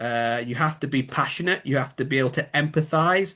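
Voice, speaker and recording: With a Yorkshire accent, a man speaks at a fairly high pitch over a quiet background. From Yorkshire, northern England. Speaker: biomechanics expert. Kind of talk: interview. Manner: hesitant, filler-heavy.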